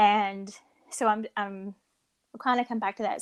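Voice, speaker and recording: Using a fairly high pitch and a Kentucky accent, a woman speaks at a moderate pace in a very clean recording with a silent background and a dry, close sound with no echo. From rural Kentucky. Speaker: podcast co-host. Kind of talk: casual chat. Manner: animated storytelling.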